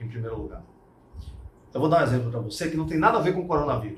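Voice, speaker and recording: A somewhat breathy voice with ordinary pitch variation is heard against audible room echo. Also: man. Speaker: martial arts instructor. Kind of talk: casual talk / interview-style explanation. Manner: animated.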